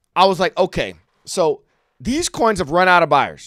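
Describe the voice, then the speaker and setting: With lively intonation and an animated tone, a man speaks at a moderate pace in a high voice, recorded very cleanly against a silent background with a dry, close sound and no echo. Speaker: crypto trading streamer. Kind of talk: casual trading commentary.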